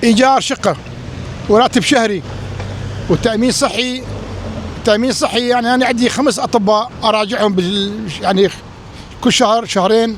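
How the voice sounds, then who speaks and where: With an extremely high pitch, a man talks at a fairly slow pace with long, frequent pauses, very even loudness and fairly even intonation, amid noticeable background noise. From Iraq. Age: 60s. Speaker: Iraqi emigrant interviewee. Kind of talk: street interview.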